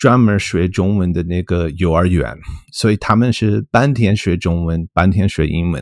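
A man with an English accent speaks fairly slowly in a very deep, low voice with ordinary pitch variation. The recording is very clean and silent behind him, with a dry, close sound and no echo. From US, Colorado. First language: English (speaking Chinese). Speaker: linguistics professor. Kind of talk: casual interview. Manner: halting, many fillers.

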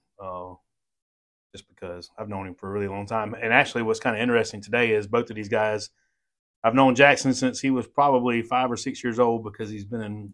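With a Southern US accent, a man speaks at a fairly quick pace in a fairly low pitch, his intonation fairly even but his loudness swinging widely, on a very clean recording with a silent background. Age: 40s. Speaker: podcast host, police officer. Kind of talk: casual interview.

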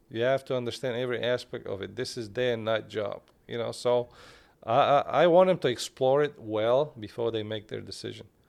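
A man with a Turkish accent talks at a fairly quick pace. The background is quiet. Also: medium pitch for a man, ordinary pitch variation. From Bulgaria, Turkish minority. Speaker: cardiologist. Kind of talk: interview. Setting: studio.

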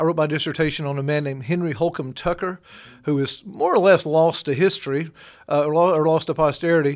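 Over a silent background on a very clean recording, a man speaks at a very fast pace. He has a Southern US accent, a fairly high pitch and fairly even intonation. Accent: Southern US (Georgia). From Georgia, US South. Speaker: pastor and newspaper editor. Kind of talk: interview. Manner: halting, many fillers.

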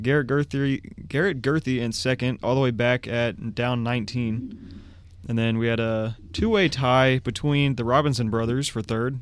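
At a moderate pace, a man speaks in a plain, everyday voice, medium in pitch with ordinary pitch variation. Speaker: disc golf podcast co-host. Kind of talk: casual chat. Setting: studio.

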